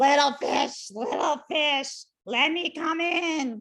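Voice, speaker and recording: Someone bellows in a put-on character voice. The pace is very slow. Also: woman. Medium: read story. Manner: roaring.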